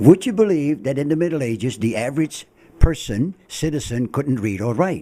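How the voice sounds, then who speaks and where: At a moderate pace, a man speaks with a fairly high pitch, a dark, mellow tone and lively intonation. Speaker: town crier. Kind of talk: radio interview answer, conversational explanation.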